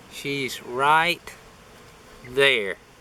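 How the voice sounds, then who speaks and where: A man talks with fairly even intonation amid noticeable background noise. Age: middle-aged. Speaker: beekeeper. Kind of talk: casual vlog tutorial.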